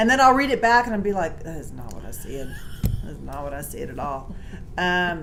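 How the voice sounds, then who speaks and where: A woman with a Texas accent and a fairly low pitch speaks with vocal fry, her pitch swinging very widely. Her loudness varies greatly, with audible room echo around her. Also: fairly quick pace. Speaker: podcast host. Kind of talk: casual chat. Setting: hotel room.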